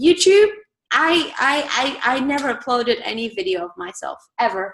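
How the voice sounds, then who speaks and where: The woman's voice is high-pitched, with very wide pitch swings. She talks at a moderate pace. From Bulgaria. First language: Bulgarian. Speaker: live streaming specialist. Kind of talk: interview.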